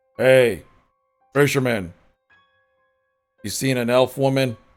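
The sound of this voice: A man uses a put-on character voice, booming and loud at a medium pitch. He goes at a fairly slow pace while faint music plays in the background.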